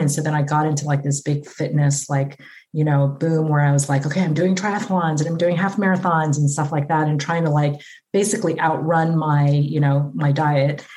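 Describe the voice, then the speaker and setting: A woman's very deep, low voice, dark and mellow in tone, somewhat breathy, with fairly even intonation. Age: 50s. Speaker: physician. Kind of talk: casual chat.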